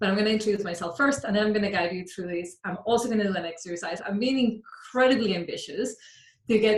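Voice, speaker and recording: A woman speaks with a Colombian accent, her fairly high voice a little breathy. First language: Spanish. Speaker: mindset coach. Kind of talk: workshop talk.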